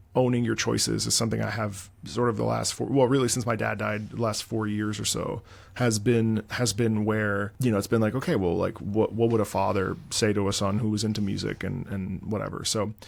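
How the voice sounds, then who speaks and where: Music plays in the background as a man talks at a fairly quick pace and fairly low pitch. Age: 30s. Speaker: YouTube host and former opera singer. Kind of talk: casual chat. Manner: animated.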